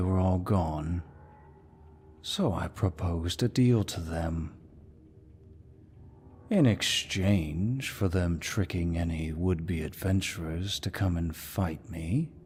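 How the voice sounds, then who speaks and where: Putting on a character voice, a man speaks very deep and low at a fairly slow pace. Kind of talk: ASMR roleplay. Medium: solo performance. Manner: dominant, mocking, unhurried.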